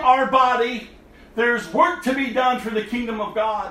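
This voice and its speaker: A man's raised, projected voice, extremely high in pitch, at a moderate pace amid noticeable background noise. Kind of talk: sermon, fiery exhortation. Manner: urgent, forceful, scolding; emphatic, repetitive, rising intensity.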